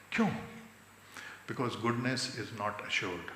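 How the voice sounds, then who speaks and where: Lively intonation marks this man's speech. Noticeable background noise and audible room echo surround him. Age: 60s. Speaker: convocation speaker, social activist. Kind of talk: convocation speech. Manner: mixes Hindi and English.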